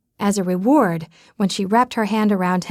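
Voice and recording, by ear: The intonation stays fairly even throughout this reading aloud in a natural voice.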